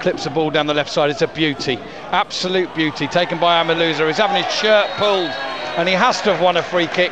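Shouting at a very fast pace, a man with a high pitch and ordinary pitch variation is heard in a dry sound with no echo and noticeable background noise. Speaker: football match commentator. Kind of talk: live football commentary, rapid play-by-play of passes and chances. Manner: excitable, bursts into shouts of 'Goal!' and 'Yeah! Oh!' at key moments; quick-fire clipped phrases with frequent 'uh' fillers and self-corrections. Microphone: headset.

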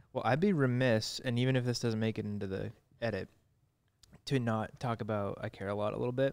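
Over a quiet background, a man speaks at a fairly quick pace with fairly even intonation. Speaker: filmmaker, podcast co-host; podcast co-host. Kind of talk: casual interview. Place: studio. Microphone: studio mic.

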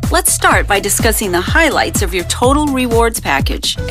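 Music plays behind a woman's voice. She speaks at a moderate pace. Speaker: voice actor. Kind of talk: corporate narration. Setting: studio.

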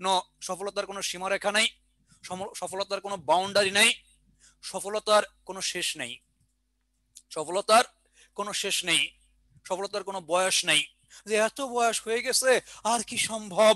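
A man's raised, projected voice, high and bright with a sharp tone and fairly even intonation, dry with no echo over a quiet background. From Bangladesh. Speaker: exam prep teacher. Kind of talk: online lecture; lecture. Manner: repetitive, dictation pace. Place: classroom. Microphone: headset.

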